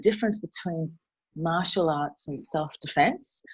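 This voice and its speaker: Against a quiet background, a woman with an Australian accent talks at a fairly low pitch with ordinary pitch variation. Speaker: martial arts and self-defense instructor. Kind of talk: conversational presentation.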